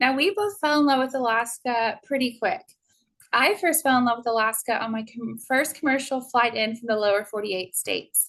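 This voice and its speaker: Against a quiet background, a woman with a Texan accent speaks fairly quickly in a high voice with ordinary pitch variation. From Texas. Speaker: cruise tour director. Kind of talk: sales presentation. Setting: Zoom webinar.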